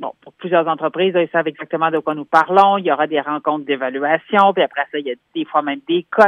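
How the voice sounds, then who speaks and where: Speaking at a very fast pace, a woman with a very deep, low pitch shows ordinary pitch variation and big swings in loudness. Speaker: human resources specialist. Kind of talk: radio column interview.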